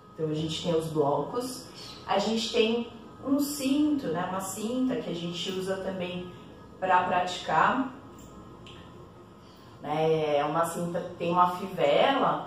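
A woman speaks at a fairly slow pace with long, frequent pauses, amid audible room echo and light background noise. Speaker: yoga teacher. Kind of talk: tutorial. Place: home room. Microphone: camera far.

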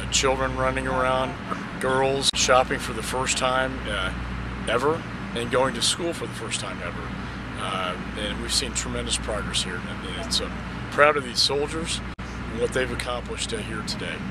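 Over loud background noise, a man talks at a fairly slow pace, the sound dry with no echo. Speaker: politician visiting troops. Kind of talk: on-location statement to camera. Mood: proud, upbeat. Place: open country.

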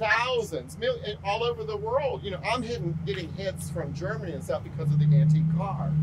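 A woman at a fairly quick pace, with loud background noise. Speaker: real estate agent. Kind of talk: casual training video. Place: street.

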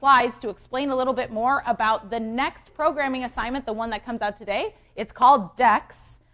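A woman speaks with a high pitch at a fairly quick pace in an animated tone. Her pitch varies in an ordinary way, and the background is quiet. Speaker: university lecturer. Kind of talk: lecture. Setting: lecture hall with students. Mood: light, joking. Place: hall.

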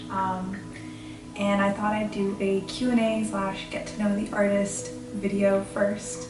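A woman talks at a fairly slow speed. Clear music sounds behind her. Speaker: painter. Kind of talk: casual talk to camera. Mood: warm, friendly. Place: home room.

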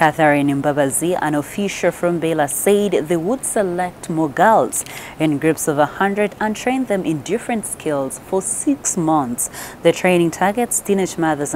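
A woman speaks in a normal speaking voice at a fairly low pitch and a fairly slow pace. The sound is dry with no echo, with light background noise. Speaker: news presenter. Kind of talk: news bulletin reading. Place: studio.

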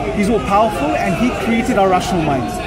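Crowd noise fills the background as a man speaks. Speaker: street debater. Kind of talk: debate argument. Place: street. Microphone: phone near.

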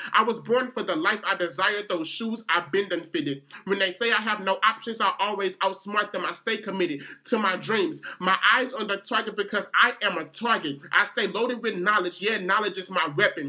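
A man speaks fairly quickly in a raised, projected voice, high-pitched with a bright, sharp tone and ordinary pitch variation. He hardly pauses, and the background is quiet. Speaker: spoken word poet. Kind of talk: spoken word poetry performance.

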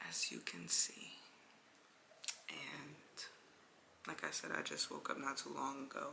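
Whispering with an American accent, a woman speaks fairly slowly, leaving long, frequent pauses. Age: 20s. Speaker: vlogger. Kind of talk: casual vlog talk. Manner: soft-spoken.

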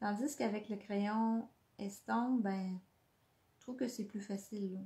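Speaking with a Quebec accent, a woman uses a medium pitch and fairly even intonation, her voice somewhat breathy. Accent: Québécois French. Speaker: scrapbooking instructor. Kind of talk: live craft tutorial. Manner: hesitant, many fillers.

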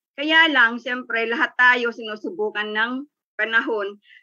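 A woman with a high, bright, sharp voice speaks at a fairly slow pace with ordinary pitch variation against a quiet background. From Philippines. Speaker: business sharer; guest. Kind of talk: testimony. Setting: video call. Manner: stumbling over words. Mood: upbeat, motivational. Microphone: video call.

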